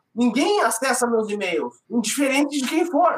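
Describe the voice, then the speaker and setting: This man's voice sits at an extremely high pitch, moving at a moderate pace with lively intonation. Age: 40s. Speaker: IT professional. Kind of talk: casual chat.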